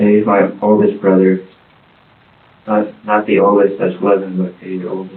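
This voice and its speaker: Mumbling at a moderate pace, a man speaks with monotone, flat intonation and a fairly low pitch, pausing long and often. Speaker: father of the deceased infant. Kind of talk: police interview answer.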